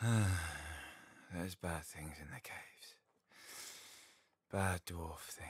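Using a put-on character voice, a man mumbles at a very slow pace in a very deep, low pitch, with ordinary pitch variation and long, frequent pauses. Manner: mumbling, drowsy.

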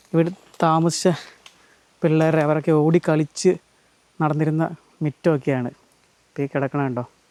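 A man talks at a fairly high pitch in a flat monotone. The sound is dry and close, with no echo. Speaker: travel vlogger. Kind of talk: vlog narration. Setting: outdoors.

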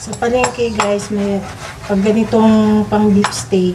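A woman speaks over noticeable background noise. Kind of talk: cooking tutorial chat. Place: kitchen. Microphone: phone near.

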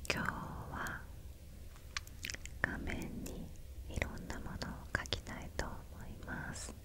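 At a fairly slow pace, a woman speaks with long, frequent pauses. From Japan. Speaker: ASMR creator. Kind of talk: ASMR whisper video. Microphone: studio mic.

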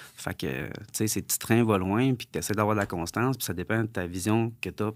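At a fairly quick pace, a man talks in a fairly low pitch with ordinary pitch variation. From Quebec, Sherbrooke; Quebec. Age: 30s. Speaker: entrepreneur, former pro fighter; podcast guest. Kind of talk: podcast interview. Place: studio. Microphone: studio mic.

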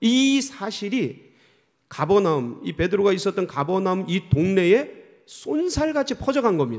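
A man speaks at a fairly slow pace with a high pitch and very wide pitch swings. The background is quiet. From South Korea. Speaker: senior pastor; pastor. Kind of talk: sermon. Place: church. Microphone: podium.

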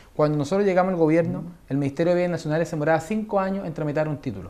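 A man with a Chilean accent speaks in a high voice. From Chile, San Bernardo south of Santiago. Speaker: government minister. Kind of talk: TV news interview. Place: studio. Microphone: lapel.

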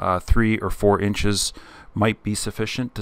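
With a Canadian accent, a plain, everyday voice speaks at a moderate pace. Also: man. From Canada. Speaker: spray foam insulation contractor and video host. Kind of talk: tutorial-style Q&A answering viewer questions.

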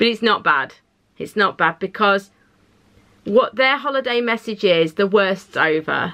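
Her pitch shows ordinary variation as a woman talks at a fairly slow pace. Behind her, the background stays quiet. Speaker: tarot reader. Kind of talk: pick-a-card reading, casual direct address. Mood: reassuring, warm, some laughter. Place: home room.

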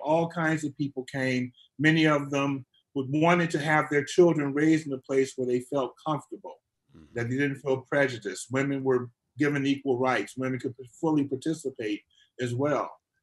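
A fairly high-pitched man with an American accent, fairly quick, with fairly even intonation and big swings in loudness against a quiet background. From US Midwest (Detroit, Michigan); Michigan. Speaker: imam. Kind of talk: interview. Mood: calm, reflective. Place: home room. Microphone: video call.

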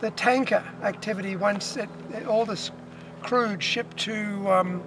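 Speaking at a very slow pace, a man with a high pitch keeps a monotone, flat intonation over noticeable background noise. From Australia. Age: 60s. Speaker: protest cyclist. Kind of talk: casual conversation outdoors. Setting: outdoors. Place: open country. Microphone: camera far.

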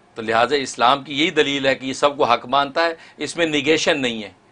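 In a bright, sharp tone, a man talks at a moderate pace with ordinary pitch variation. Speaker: guest. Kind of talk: interview answer. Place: studio.

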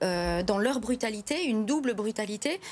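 This is a woman speaking. Her pace is moderate. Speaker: guest. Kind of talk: interview answer. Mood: concerned, critical. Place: studio. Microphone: lapel.

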